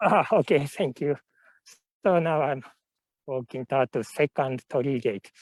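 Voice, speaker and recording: A man with a Japanese accent speaks at a moderate pace and fairly high pitch, with ordinary pitch variation and long, frequent pauses. The recording is very clean and dry, with a close sound, no echo and a silent background. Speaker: tour guide. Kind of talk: live virtual tour guiding. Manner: halting.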